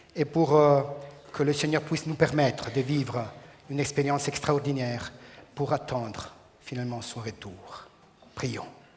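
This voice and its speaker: Over noticeable background noise, a man speaks with a fairly high pitch and fairly even intonation. He leaves long, frequent pauses. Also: moderate pace. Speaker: preacher. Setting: church.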